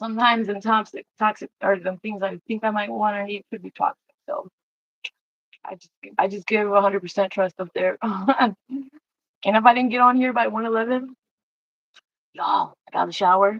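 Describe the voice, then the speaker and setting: Her loudness swings widely as a woman talks at a fairly quick clip with a fairly high, monotone, flat delivery broken by long, frequent pauses. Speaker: livestreamer. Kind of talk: casual livestream talk. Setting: home livestream at desk. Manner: halting.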